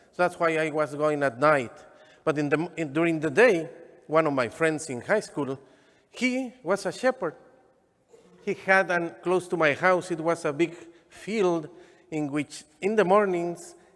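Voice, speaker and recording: Speaking slowly with long, frequent pauses, a man with a strong Mexican accent has a high pitch and ordinary pitch variation. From Mexico, Michoacán. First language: Spanish. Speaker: deacon. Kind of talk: sermon. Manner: halting.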